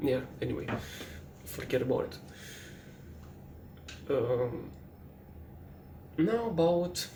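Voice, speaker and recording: With a non-native accent, a man speaks at a very slow pace with long, frequent pauses, his fairly high voice carrying lively intonation. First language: not English. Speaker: artist. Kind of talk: late-night personal monologue. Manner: hesitant, halting.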